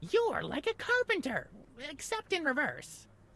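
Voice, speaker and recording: In a put-on character voice, the speaker uses an extremely high pitch with very wide pitch swings at a moderate pace. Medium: video game.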